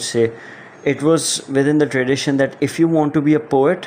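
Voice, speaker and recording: A man with a non-native accent speaks at a moderate pace and a fairly high pitch over noticeable background noise. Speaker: podcast host, writer. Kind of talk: solo podcast monologue. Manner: casual, hesitant with fillers.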